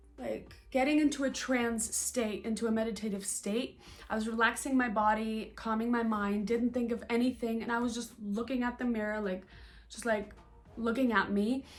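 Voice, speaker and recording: Music plays behind a woman's fairly high voice. She speaks at a moderate pace. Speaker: spiritual vlogger and coach. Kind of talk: casual monologue vlog. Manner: animated; halting, stuttering.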